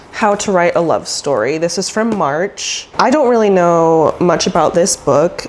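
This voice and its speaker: At a fairly slow pace, a woman speaks over noticeable background noise. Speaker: book vlogger. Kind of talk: casual vlog. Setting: at home by her bookshelf. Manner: animated.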